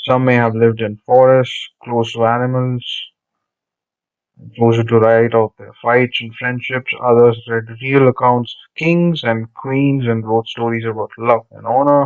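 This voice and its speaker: This man, with a Telugu accent and a medium pitch, speaks fairly slowly in a monotone, flat intonation while his loudness swings a lot. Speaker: teacher. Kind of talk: lesson reading textbook aloud with commentary. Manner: conversational, with fillers.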